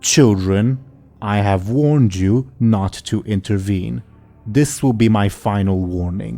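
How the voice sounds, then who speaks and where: A man puts on a booming character voice at a fairly low pitch. He goes at a fairly slow pace, with faint music in the background. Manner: stern, warning, authoritative.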